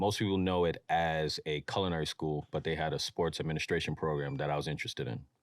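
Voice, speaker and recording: In a very clean recording with a silent background and a dry, close sound with no echo, a man with a New York accent speaks very fast in a very deep, low pitch, with fairly even intonation and hardly any pauses. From New York, Mount Vernon. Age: 30s. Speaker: streetwear brand founder. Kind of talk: podcast interview. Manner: casual.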